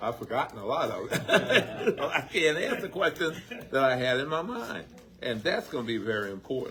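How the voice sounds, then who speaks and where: At a moderate pace, a man with an American accent and a fairly high voice speaks with very wide pitch swings over noticeable background noise. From Baltimore, Maryland, US. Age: 70s. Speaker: community member asking questions. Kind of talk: audience comment at public forum. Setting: community forum with audience.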